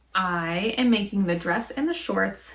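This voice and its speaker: Speech comes very slowly. There is a somewhat breathy quality to it. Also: woman. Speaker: sewing vlogger. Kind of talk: casual vlog chat.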